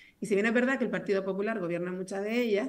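Very fast speech in a Canarian accent with ordinary pitch variation. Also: woman. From Canary Islands, Telde (Gran Canaria); Canary Islands, Spain. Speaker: politician. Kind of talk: political debate. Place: home room. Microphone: video call.

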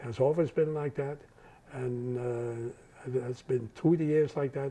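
At a moderate pace, a man with a Dutch accent talks at a medium pitch with ordinary pitch variation. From Netherlands. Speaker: Holocaust survivor. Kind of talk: interview answer. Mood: earnest, reflective. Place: home room. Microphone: lapel.

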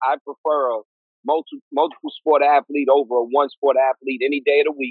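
Speaking at a fairly quick pace in a New York accent, a man with a fairly high pitch keeps his intonation fairly even, the sound dry with no echo and the background quiet. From East New York, Brooklyn; Brooklyn, New York. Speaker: clinical psychologist; guest, educator. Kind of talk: interview. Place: home room. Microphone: video call.

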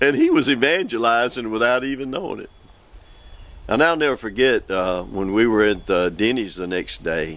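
A man with a Southern US accent speaks at a moderate pace and medium pitch. His intonation is lively, and the sound is dry with no echo. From US South, Mississippi. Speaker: evangelist preacher. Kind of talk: preaching show monologue. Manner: animated. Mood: warm, earnest. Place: forest.

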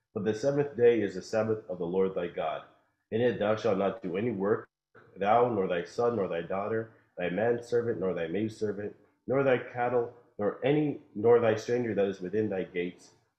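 A man at a moderate pace, fairly low in pitch with ordinary pitch variation, in a quiet background with audible room echo. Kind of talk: scripture reading aloud. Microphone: video call.

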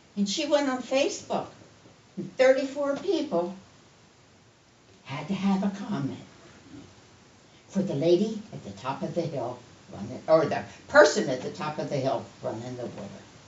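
Amid audible room echo and noticeable background noise, a woman with a fairly low pitch talks at a moderate pace, her voice ranging in very wide pitch swings between long, frequent pauses. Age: 70s. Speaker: resident speaking at public comment. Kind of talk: public comment at town meeting.

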